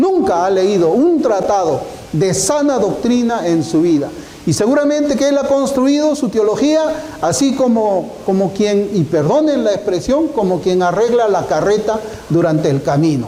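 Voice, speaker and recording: A man with a high voice speaks at a fairly slow pace, his pitch swinging very widely. Room echo is audible, along with noticeable background noise. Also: very even loudness. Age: 60s. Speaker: pastor. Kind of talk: sermon.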